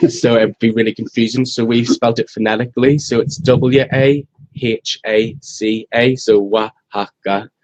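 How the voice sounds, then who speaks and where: Over music in the background, a man speaks at a medium pitch and moderate pace with fairly even intonation, in a dry, close sound with no echo. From Ireland. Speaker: restaurant employee. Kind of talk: casual interview. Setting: live stream.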